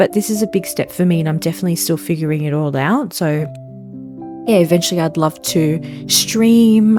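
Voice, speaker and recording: With music in the background, a woman speaks in a relaxed tone, her pitch swinging very widely. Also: fairly low pitch for a woman, moderate pace. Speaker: gaming content creator. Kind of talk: casual podcast-style chat over gameplay. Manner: relaxed, chatty.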